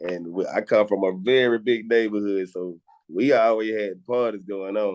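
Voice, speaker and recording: Fairly low male voice with a strong Southern accent, fairly even intonation and a moderate pace. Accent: heavy Southern. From Atlanta, Georgia (Decatur). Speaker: rapper. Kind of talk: interview. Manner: casual, slangy.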